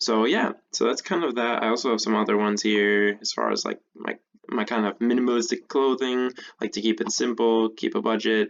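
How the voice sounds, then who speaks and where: Soft-spoken at a moderate pace, the voice comes over a quiet background. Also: man. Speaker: tech tutorial creator. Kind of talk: tutorial. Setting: at home. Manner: casual.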